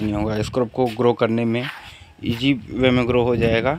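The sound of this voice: Medium in pitch and slightly mellow in tone, a man's voice moves at a moderate pace. The intonation stays fairly even.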